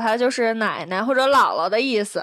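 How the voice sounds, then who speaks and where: A woman with a fairly high pitch and a bright, sharp tone speaks at a moderate pace with lively intonation, in a very clean recording with a silent background. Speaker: podcast host. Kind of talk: casual chat.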